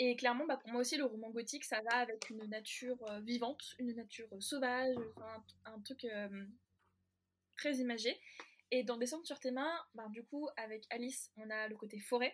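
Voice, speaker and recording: At a moderate pace, a woman with a high pitch and fairly even intonation speaks with long, frequent pauses and big swings in loudness. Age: 20s. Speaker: novelist and French teacher. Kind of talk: casual interview chat. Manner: hesitant, many fillers.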